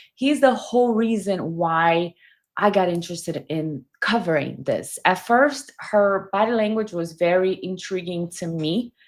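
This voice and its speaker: On a very clean recording with a silent background, a woman speaks at medium pitch in a strong non-native accent. Her pace is fairly slow and her intonation lively. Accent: heavy foreign. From Brazil. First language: Portuguese. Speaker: body language commentator. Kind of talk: livestream commentary.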